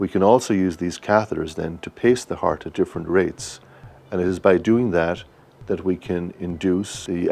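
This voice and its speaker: In an Irish accent, a man with a very deep, low pitch speaks at a moderate pace with fairly even intonation. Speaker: cardiologist. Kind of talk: interview.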